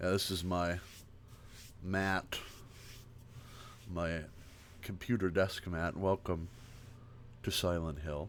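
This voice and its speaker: Soft-spoken and relaxed in tone, a man talks at a very slow pace with long, frequent pauses, a very deep, low pitch and fairly even intonation. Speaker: livestreamer. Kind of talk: casual chat, ASMR-style livestream. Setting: live stream, home desk with webcam. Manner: relaxed, chill.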